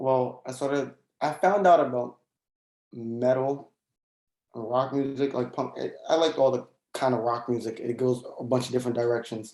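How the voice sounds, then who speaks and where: At a moderate pace and with long, frequent pauses, a man with an American accent speaks at medium pitch with fairly even intonation. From Brooklyn, New York. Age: 20s. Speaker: musician. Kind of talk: casual interview.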